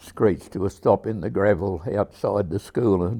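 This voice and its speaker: The pace is moderate throughout. An Australian accent is heard. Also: man. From South Gippsland, Victoria, Australia. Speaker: local elder. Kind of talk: oral history interview.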